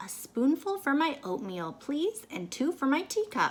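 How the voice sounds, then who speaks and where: Putting on a character voice, a woman speaks high-pitched at a moderate pace with very wide pitch swings. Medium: read story. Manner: gentle, polite.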